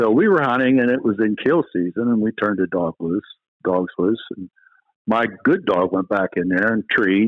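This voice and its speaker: A medium-pitched man with a Pennsylvania accent at a fairly quick pace. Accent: Pennsylvania American. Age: 60s. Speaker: retired game warden. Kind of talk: casual interview chat. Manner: halting, repeats words.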